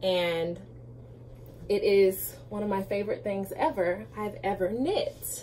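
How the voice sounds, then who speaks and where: Noticeable background noise fills the clip. Against it, a woman speaks very slowly. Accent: American. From US Midwest, St. Louis, Missouri. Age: 20s. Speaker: knitting podcaster. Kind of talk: casual chat. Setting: home she shed.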